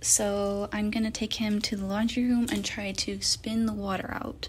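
Over noticeable background noise, a woman speaks at a fairly slow pace. Her medium-pitched intonation is monotone and flat. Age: young. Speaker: college student. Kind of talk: tutorial voice-over. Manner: casual, hesitant.

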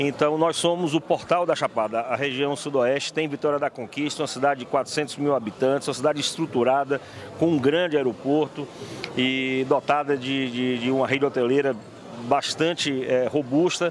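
In an ordinary speaking voice, a man talks at a moderate pace with a fairly high pitch and fairly even intonation. The sound is dry with no echo, with light background noise. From Bahia, Brazil. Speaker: agricultural cooperative vice-president. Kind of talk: interview. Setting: event venue. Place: hall. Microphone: handheld.

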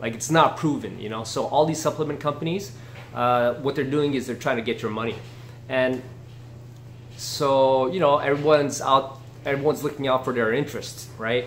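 A man speaks at a moderate pace with fairly even intonation over light background noise. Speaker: martial arts fitness vlogger. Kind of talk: casual vlog chat. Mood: opinionated, dismissive. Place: home room.

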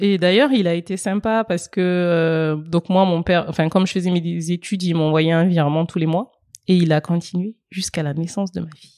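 The voice has a dark, mellow tone at a fairly quick pace, with fairly even intonation, big swings in loudness and a dry, close sound with no echo on a very clean recording with a silent background. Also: woman, fairly low pitch for a woman. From Republic of the Congo. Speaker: mother. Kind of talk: interview. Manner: halting.

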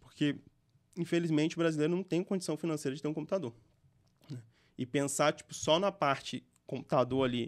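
The pace is moderate. The background is quiet. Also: man. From interior of Espírito Santo, Brazil. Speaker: gaming entrepreneur; podcast guest. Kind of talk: interview. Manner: casual, slangy. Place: studio. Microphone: studio mic.

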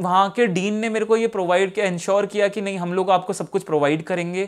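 Against a quiet background, a man speaks in a high pitch with fairly even intonation. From India. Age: 20s. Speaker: civil servant with visual impairment. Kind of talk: personal success story monologue. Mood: calm, reflective. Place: office. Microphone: lapel.

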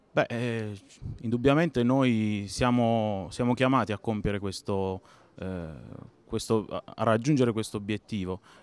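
A man's medium-pitched voice at a fairly slow pace, with long, frequent pauses, ordinary pitch variation, and dry sound with no echo. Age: young. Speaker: business association leader. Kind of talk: interview. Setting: conference. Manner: hesitant, many fillers and repetitions. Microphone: handheld.

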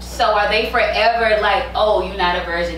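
A woman's voice with light background noise and audible room echo. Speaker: podcast co-host. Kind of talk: casual chat. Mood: opinionated, animated. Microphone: camera far.

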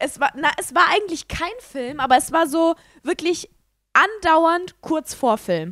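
A woman speaks at an extremely high pitch with a bright, sharp tone and lively intonation, at a fairly slow pace. The background is quiet and the sound is dry with no echo. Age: 20s. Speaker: podcast co-host. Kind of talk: casual chat. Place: home room.

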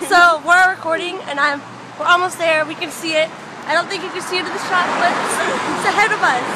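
A woman speaks at a fairly quick pace with a dry sound and no echo. Crowd noise fills the background. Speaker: vlogger. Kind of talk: casual vlog chat. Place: street. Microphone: phone near.

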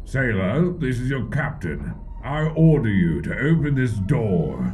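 Over clear music in the background, a man at a medium pitch puts on a character voice and talks at a fairly slow pace. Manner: commanding.

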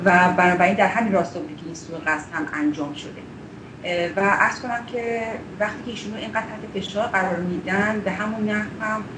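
A woman talks at a very fast pace with ordinary pitch variation and big swings in loudness, against noticeable background noise. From Iran. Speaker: political activist, former prisoner; campaign spokesperson. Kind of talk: interview. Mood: serious, concerned. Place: home room. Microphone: video call.

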